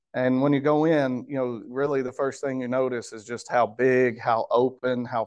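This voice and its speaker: Against a quiet background, a man speaks in a monotone, flat intonation. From Kentucky. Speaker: grocery store manager; guest. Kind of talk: guest talk at club meeting. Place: meeting room.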